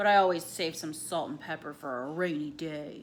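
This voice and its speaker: A woman uses a put-on character voice at a very deep, low pitch. She keeps a moderate pace with ordinary pitch variation and big swings in loudness. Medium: read story.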